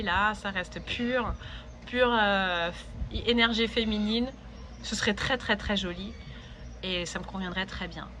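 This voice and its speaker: Very slowly, a woman speaks in a bright, sharp tone. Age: 30s. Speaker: vlogger. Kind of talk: personal vlog monologue. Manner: hesitant, many fillers.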